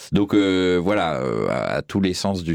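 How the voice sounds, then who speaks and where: A man speaks with a very deep, low pitch. His pace is very slow. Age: 50s. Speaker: film historian and critic. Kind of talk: interview. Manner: hesitant, many fillers.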